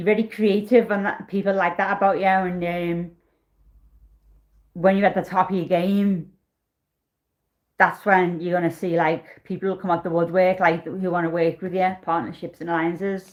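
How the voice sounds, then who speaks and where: A woman speaks in a flat monotone with long, frequent pauses, on a very clean recording with a silent background. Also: medium pitch for a woman, moderate pace. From northern England, Liverpool. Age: 40s. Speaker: tarot reader. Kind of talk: live-stream tarot reading. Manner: casual, chatty.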